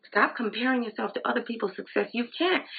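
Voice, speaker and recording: A woman is speaking. She has an American accent. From Flint, Michigan. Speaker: direct sales beauty consultant. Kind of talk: live training talk. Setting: Facebook Live video.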